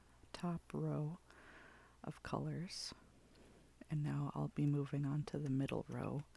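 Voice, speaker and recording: The voice is soft-spoken and the pace very slow. Long pauses come often. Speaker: ASMR creator. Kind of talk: ASMR soft-spoken art swatching chat.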